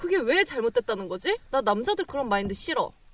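A woman at a moderate pace, with very wide pitch swings and a dry, close sound with no echo. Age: 20s. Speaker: podcast co-host, job seeker. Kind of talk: casual chat.

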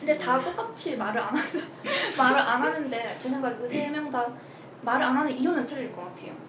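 A woman with a high voice speaks at a fairly quick pace with lively intonation, in a room with audible echo and noticeable background noise. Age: 20s. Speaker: astrology podcast guest. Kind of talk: casual chat.

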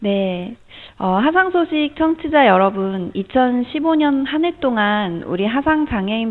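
A woman at a very slow pace with very wide pitch swings. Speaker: social worker. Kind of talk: scripted announcements. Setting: studio. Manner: softer, more relaxed than before.

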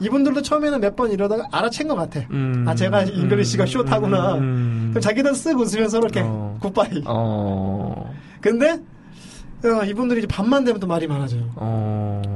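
This man has a high pitch and very wide pitch swings, speaking at a moderate pace. Noticeable background noise runs underneath. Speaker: newspaper editor and co-host. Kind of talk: casual banter. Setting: studio. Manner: joking, dad-joke style.

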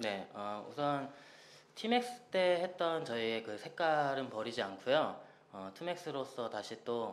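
Lively intonation marks this man's unremarkable speaking voice, delivered at a moderate pace. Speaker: singer. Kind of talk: casual radio interview.

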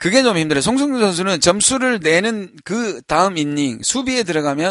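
A man's high-pitched voice at a moderate pace with very wide pitch swings. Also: quiet background. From Busan, South Korea. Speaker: baseball podcast co-host. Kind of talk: casual chat.

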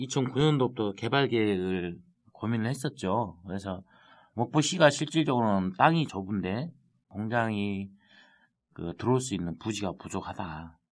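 Against a quiet background, a man with a slight Jeolla accent speaks fairly slowly at a fairly low pitch, with lively intonation. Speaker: city councillor. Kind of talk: casual chat.

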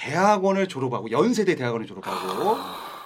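This man speaks in a high pitch with an animated tone. His pitch swings very widely. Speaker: podcast host. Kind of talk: casual chat.

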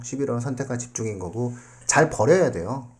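This man talks at a moderate pace, his medium-pitched voice carrying a dark, mellow tone. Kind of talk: casual panel discussion with students.

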